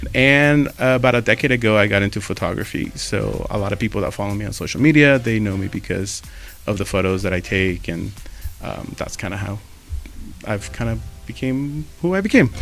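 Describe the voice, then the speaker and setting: Over music in the background, a man with a fairly low pitch speaks at a fairly quick pace. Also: lively intonation. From Mexico. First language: Spanish. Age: 30s. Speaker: podcast co-host, photographer, marketer. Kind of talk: casual chat.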